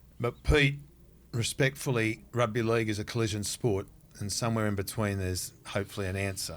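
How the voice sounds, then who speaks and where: On a very clean recording with a silent background, a man with an Australian accent speaks fairly quickly at a fairly low pitch with ordinary pitch variation. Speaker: podcast co-host. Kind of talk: casual interview chat. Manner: animated.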